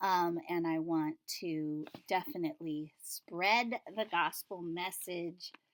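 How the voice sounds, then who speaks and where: A woman's voice at a medium pitch. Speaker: Bible study video host. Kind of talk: Bible reading and commentary. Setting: at home, dusky evening light. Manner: casual, thinking aloud; mumbling at times.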